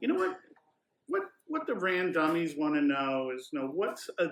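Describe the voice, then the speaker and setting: With a Philadelphia accent, a man talks at a moderate pace using ordinary pitch variation. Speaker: podcast co-host. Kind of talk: casual podcast interview; reading a guest bio and hotel info from notes. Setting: on location in a hotel.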